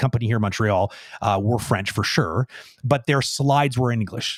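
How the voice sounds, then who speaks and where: A man talks at a fairly quick pace in a somewhat breathy voice, with a dry, close sound and no echo. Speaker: animation director. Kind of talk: live Q&A. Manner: fast.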